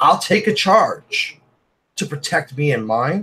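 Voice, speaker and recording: A loud, high male voice with an American accent. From New York City (Brooklyn, Staten Island). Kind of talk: heated debate.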